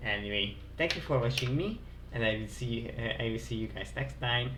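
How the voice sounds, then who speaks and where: Here a man speaks with a Hungarian accent at a moderate pace. Audible room echo surrounds his voice. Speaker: game streamer. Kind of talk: live stream chat. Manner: halting, many fillers and repetitions.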